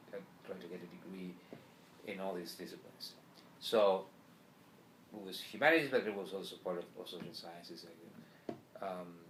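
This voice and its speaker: A man with a Spanish accent speaks at a moderate pace in a very deep, low pitch, with fairly even intonation, long and frequent pauses, and big swings in loudness. The room echo is audible and there is noticeable background noise. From Argentina. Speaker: journalist and professor. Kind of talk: interview. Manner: halting, many repetitions.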